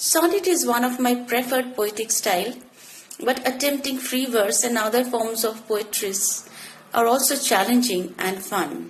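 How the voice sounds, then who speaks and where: A woman with a Bengali accent speaks at a high pitch with ordinary pitch variation. Noticeable background noise runs underneath. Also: moderate pace. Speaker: poet. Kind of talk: interview. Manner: formal.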